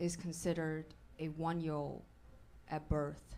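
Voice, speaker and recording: In a Chinese accent, a woman speaks at a moderate pace with a very deep, low pitch, and audible room echo surrounds her. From China. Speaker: stand-up comedian. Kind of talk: stand-up. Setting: stage with audience.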